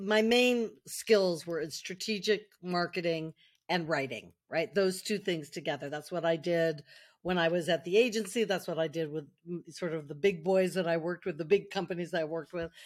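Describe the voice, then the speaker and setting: At a moderate pace, a normal speaking voice in an American accent shows ordinary pitch variation. The recording is very clean, and the background is silent. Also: woman, fairly low pitch for a woman. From US West Coast, Silicon Valley. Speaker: marketer and author. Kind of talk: interview.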